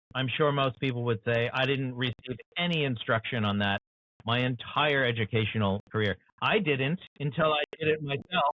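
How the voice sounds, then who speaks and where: A plain, everyday voice from a man with an American accent, medium in pitch, with ordinary pitch variation, very even loudness and a moderate pace. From USA. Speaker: author and show host. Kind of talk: interview conversation.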